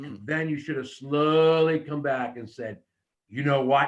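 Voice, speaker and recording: A man talks at a fairly slow pace with a fairly high pitch. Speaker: wrestling promo coach. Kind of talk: coaching feedback.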